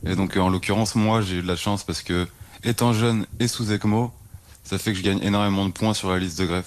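Speaking at a fairly quick pace, a man keeps a fairly low pitch with fairly even intonation. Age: 20s. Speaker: heart transplant patient. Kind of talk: testimony. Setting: hospital bed. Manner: hesitant.

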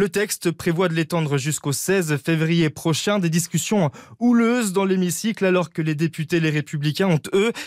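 In a very clean recording with a silent background and a dry, close sound with no echo, a man speaks with a high pitch and ordinary pitch variation. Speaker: news reader. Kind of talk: news reading. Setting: studio.

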